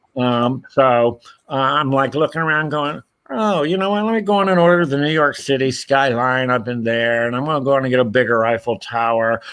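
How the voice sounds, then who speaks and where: A man with a normal speaking voice, medium pitch, lively intonation and a fairly quick pace. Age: 60s. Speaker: puppet designer and Lego builder. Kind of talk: casual chat.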